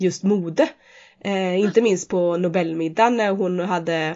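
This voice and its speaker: A woman at a fairly low pitch, very slow in pace, with fairly even intonation. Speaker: podcast co-host. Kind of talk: casual chat.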